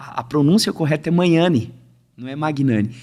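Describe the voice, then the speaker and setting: Speaking in a São Paulo interior accent, a man has a fairly high pitch. His intonation is lively. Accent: caipira accent of interior São Paulo, drawled. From western São Paulo state countryside, Rancharia. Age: 30s. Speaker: musician. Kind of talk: casual chat.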